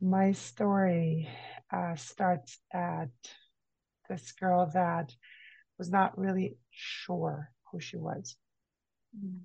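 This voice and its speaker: A dark, mellow, somewhat breathy voice moves at a very slow pace with long, frequent pauses. Its loudness swings widely. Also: woman, fairly low pitch for a woman, ordinary pitch variation. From Brazil. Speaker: energy healer and mentor. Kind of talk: interview conversation. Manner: halting.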